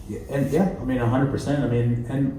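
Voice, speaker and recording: Amid noticeable background noise and audible room echo, a man with an American accent speaks with ordinary pitch variation. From US South. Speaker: interview guest. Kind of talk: casual interview chat. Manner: relaxed, laid-back.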